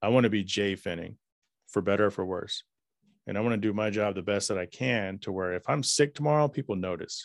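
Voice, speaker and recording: A man with an American accent at a fairly quick pace, with ordinary pitch variation, in a very clean recording with a silent background. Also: dry, close sound with no echo. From US South, Dallas, Texas. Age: 40s. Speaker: podcaster and IT worker. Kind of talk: interview conversation.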